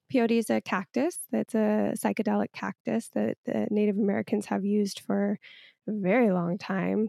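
A woman speaks at a moderate pace. The sound is dry and close with no echo, on a very clean recording with a silent background. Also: very even loudness. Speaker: podcast co-host. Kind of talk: casual chat. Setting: at home by a fireplace.

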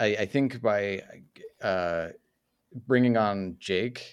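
Recorded very cleanly with a silent background, the speaker has a normal speaking voice, an American accent, and ordinary pitch variation. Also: man. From US, Utah. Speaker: video essayist and content creator. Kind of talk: casual chat.

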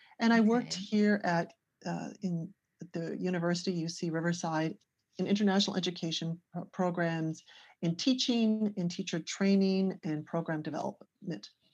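An unremarkable speaking voice at a moderate pace with ordinary pitch variation against a quiet background. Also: woman, fairly low pitch for a woman. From Canada, near Toronto. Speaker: ESL teacher and teacher trainer. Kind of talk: casual interview.

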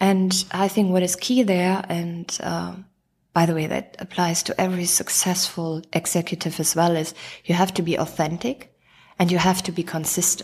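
A woman's fairly low, somewhat breathy voice with a German accent, flat monotone intonation and a moderate pace. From Germany. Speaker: chief operating officer. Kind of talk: interview.

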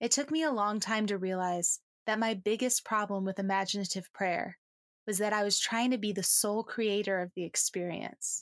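Here a woman uses a normal speaking voice at a medium pitch with ordinary pitch variation. The recording is dry and close with no echo. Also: moderate pace, very clean recording, silent background. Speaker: podcast host and Jesuit-affiliated prayer guide. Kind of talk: guided imaginative prayer, addressing Jesus directly in first person.

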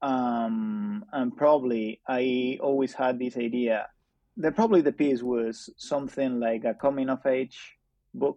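Speaking very slowly in a Spanish accent, a man keeps a medium pitch with ordinary pitch variation. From Spain. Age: 20s. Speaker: journalist. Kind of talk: interview conversation. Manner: halting.

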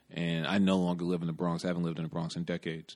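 A man with a very deep, low pitch and a New York accent, over a quiet background. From New York City. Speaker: podcast host, fashion stylist. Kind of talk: casual chat, podcast intro.

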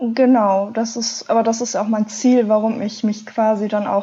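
In a dark, mellow tone, a woman speaks somewhat breathily with monotone, flat intonation. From Ruhr area, Germany. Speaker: adventure blogger. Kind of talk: interview.

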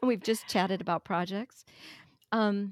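In a very clean recording with a silent background and a dry, close sound with no echo, a woman speaks at medium pitch with an American accent. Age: 60s. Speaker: fiber craft technical editor. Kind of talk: casual chat.

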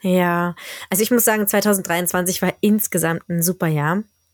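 With a dry, close sound and no echo, a woman in an ordinary speaking voice talks at a fairly slow pace, her medium pitch carrying fairly even intonation. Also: very clean recording, silent background. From Berlin, Germany. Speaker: teacher and podcast host. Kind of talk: casual chat.

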